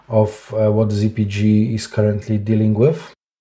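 Somewhat breathy and dark, mellow in tone, a man with a Polish accent talks at a fairly slow pace and medium pitch. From Poland. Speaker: SEO director. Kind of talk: interview.

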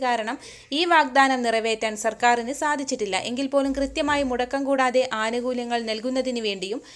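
A woman talks at a high pitch. Her pitch varies in an ordinary way. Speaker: news presenter. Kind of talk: news reading. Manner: formal.

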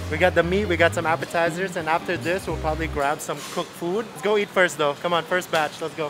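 Over music in the background, the speaker talks very fast with hardly any pauses and ordinary pitch variation. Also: man. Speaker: travel food vlogger. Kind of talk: casual vlog chat. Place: market. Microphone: phone near.

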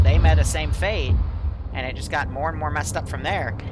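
A man rushes along at a very fast pace amid noticeable background noise. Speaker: game master running a milsim operation. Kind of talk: military briefing and radio dispatch in a game. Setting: online game voice chat. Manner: clipped, brisk radio-style commands, casual and jokey between them.

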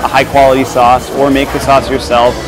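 A man talks at a moderate pace. Clear music is heard behind him. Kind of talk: interview answer. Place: cafe. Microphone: lapel.

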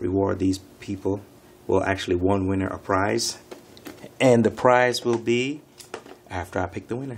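At a moderate pace, a man speaks in a fairly low voice with fairly even intonation. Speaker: channel host. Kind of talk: casual vlog chat. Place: home room. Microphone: phone near.

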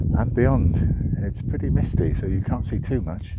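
A man at a very slow pace, dry with no echo, over loud background noise. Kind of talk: casual vlog commentary. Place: open country. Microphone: phone near.

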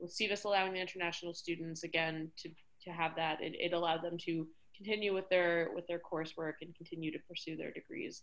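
A woman with an American accent at a very fast pace, fairly low in pitch and monotone with flat intonation, against a quiet background. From New York City. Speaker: college staff member. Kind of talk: presentation. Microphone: video call.

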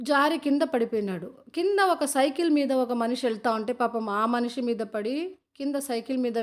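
The recording is very clean, with a silent background. A woman speaks in an unremarkable speaking voice, fairly high in pitch with ordinary pitch variation. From Srikalahasti, Tirupati district, Andhra Pradesh, India. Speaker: travel and family vlogger. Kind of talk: vlog narration to camera.

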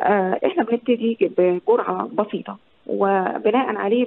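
A woman's fairly high-pitched voice with an Egyptian accent. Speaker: geriatric physician. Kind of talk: radio interview.

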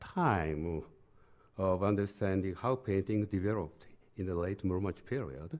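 With a Japanese accent, a man talks at a fairly slow pace in a dark, mellow tone. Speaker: art history professor. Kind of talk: lecture. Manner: halting. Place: hall. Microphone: podium.

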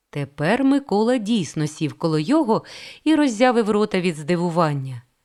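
Here is a natural reading voice.

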